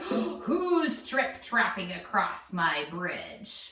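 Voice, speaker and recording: A woman's gruff, growling put-on character voice with very wide pitch swings, a very slow pace and slight echo. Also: fairly high pitch for a woman. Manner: grumpy.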